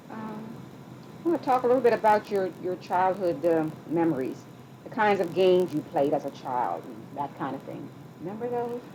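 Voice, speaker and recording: There is noticeable background noise as a woman speaks at a moderate pace in a medium pitch. Her pitch swings very widely, and her loudness shifts a lot. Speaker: oral history interviewer. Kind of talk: interview questions.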